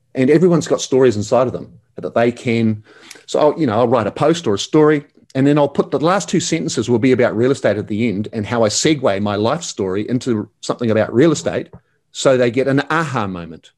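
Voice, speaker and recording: Very fast and lively in intonation, a man with a New Zealand accent talks at a medium pitch. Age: 50s. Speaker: real estate agent and coach. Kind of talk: interview. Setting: remote call. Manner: animated.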